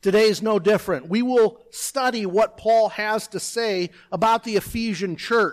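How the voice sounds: This is a natural reading voice. The intonation is fairly even.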